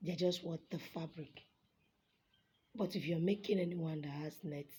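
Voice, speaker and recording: A woman speaks at a moderate pace with a fairly low pitch and a somewhat breathy, dark, mellow tone. Her intonation stays fairly even. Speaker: fashion designer. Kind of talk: tutorial.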